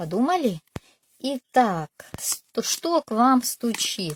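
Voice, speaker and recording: Recorded with a dry, close sound and no echo, a woman speaks at a fairly high pitch with very wide pitch swings. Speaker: tarot reader. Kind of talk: tarot reading video.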